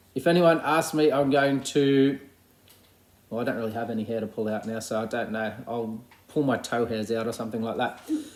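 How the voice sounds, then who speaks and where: A man with an Australian accent, at a fairly quick pace, with ordinary pitch variation. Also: medium pitch for a man. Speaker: primary school teacher. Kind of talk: recorded class update video. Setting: at home. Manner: fast.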